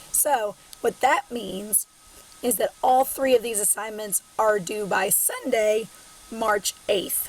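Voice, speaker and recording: Over noticeable background noise, a woman with a Southern US accent talks in a fairly high pitch with ordinary pitch variation. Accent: Southern twang. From Southern Illinois. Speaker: college English instructor. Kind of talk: recorded online lecture. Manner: casual, filler-heavy.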